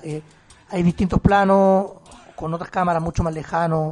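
The man's voice is high in pitch and monotone, with flat intonation. He keeps a moderate pace. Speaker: podcast co-host. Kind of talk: casual chat. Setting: remote recording.

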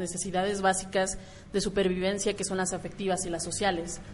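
A woman with a Mexican accent, medium in pitch. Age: 20s. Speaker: podcast host. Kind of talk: casual chat.

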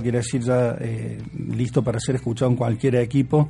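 Over noticeable background noise, a man talks fairly quickly in a flat monotone. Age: 40s. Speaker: musician. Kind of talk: interview.

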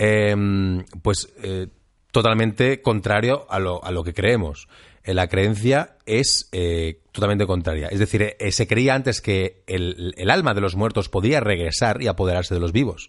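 A man with an unremarkable speaking voice, fairly low in pitch, talks at a fairly slow pace with ordinary pitch variation over a quiet background. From Catalonia, Spain. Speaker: podcast co-host. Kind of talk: casual chat.

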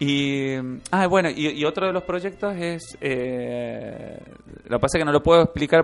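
A man's ordinary speaking voice, fairly high-pitched, with ordinary pitch variation at a moderate pace. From Argentina, Mendoza. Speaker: comic artist and illustrator. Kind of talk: casual interview. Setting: radio studio.

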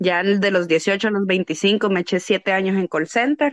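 A woman speaks at a very slow pace. The sound is dry and close with no echo, over a quiet background. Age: 30s. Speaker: adult content creator. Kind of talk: casual chat.

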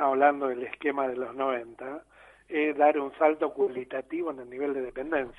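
A normal speaking voice from a man, fairly high-pitched, at a moderate pace with fairly even intonation. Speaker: political economy commentator. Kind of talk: explanatory interview.

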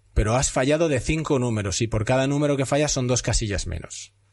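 A man's medium-pitched voice with vocal fry, fairly quick and lively in intonation, over a quiet background. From Spain, Castellón. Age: 40s. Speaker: podcast host. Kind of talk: casual interview.

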